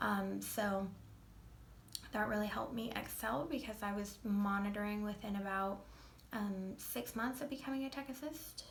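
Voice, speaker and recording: A woman's medium-pitched voice with ordinary pitch variation, against noticeable background noise. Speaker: veterinary technician assistant. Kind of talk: casual talk to camera.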